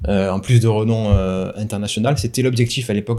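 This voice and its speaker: Using fairly even intonation at a moderate pace, a man speaks with a dark, mellow tone. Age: 30s. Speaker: wedding videographer. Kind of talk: casual interview. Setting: at the guest's home. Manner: halting.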